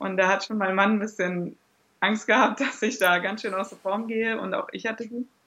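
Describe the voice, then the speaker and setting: A woman speaks at a medium pitch and a moderate pace. Her tone is bright and sharp, her intonation monotone and flat. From Germany. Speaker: blogger and new mother. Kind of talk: interview.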